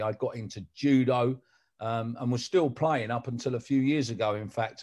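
Over a quiet background, a man with a London accent talks at a moderate pace and a medium pitch with ordinary pitch variation. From South London. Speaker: sports announcer. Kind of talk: casual chat.

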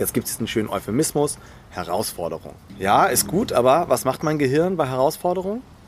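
Vocal fry runs through a man's fairly high voice as his pitch makes very wide swings. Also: fairly quick pace. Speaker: executive coach. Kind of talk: interview. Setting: outdoors in a garden.

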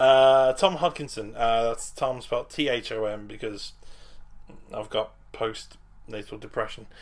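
The speaker is a man with a medium pitch. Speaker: comedian. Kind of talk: casual chat.

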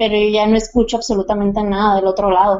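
A woman with a plain, everyday voice, medium in pitch, with fairly even intonation. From Mexico, Sonora. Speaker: guest sharing paranormal experiences. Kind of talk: personal story telling.

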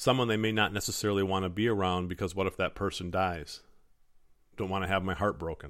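In an American accent, a man speaks at a very fast pace. His pitch is very deep and low, on a very clean recording with a silent background. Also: fairly even intonation. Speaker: podcast host and motivational speaker. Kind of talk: personal storytelling monologue.

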